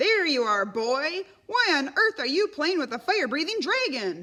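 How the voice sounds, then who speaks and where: Putting on a character voice, a woman speaks high with very wide pitch swings. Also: moderate pace. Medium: read story. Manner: gruff, blustering.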